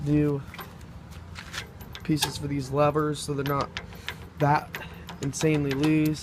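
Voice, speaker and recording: There is noticeable background noise. A man speaks at a moderate pace in a fairly high pitch. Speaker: tractor hobbyist. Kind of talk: casual talk to camera.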